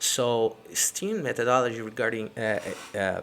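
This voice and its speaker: A man talks at a very slow pace and medium pitch in a bright, sharp tone. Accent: non-native. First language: not English. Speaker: entrepreneur. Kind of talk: casual live-stream talk to camera. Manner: hesitant, many fillers.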